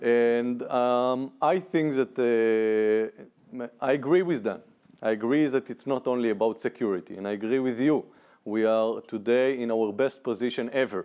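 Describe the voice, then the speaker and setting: A man speaks at a moderate pace with a medium pitch, ordinary pitch variation and a dark, mellow tone, on a very clean recording with a silent background. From Israel. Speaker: panelist, former political aide. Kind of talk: panel discussion.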